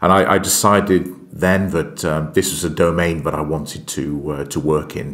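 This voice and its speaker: With a very deep, low pitch, a man talks at a moderate pace and with fairly even intonation. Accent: British. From UK. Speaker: aerospace strategy executive. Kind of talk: podcast interview. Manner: hesitant, many fillers.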